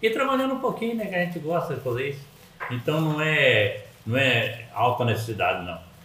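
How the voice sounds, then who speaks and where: Amid noticeable background noise and audible room echo, a man with a fairly high pitch talks at a fairly quick pace with very wide pitch swings. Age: 70s. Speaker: podcast guest, grandfather. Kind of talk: casual chat.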